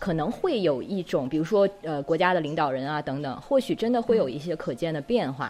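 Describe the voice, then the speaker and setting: With music playing behind her, a woman talks at a fairly quick pace with lively intonation. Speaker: podcast host. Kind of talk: casual interview chat. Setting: remote recording.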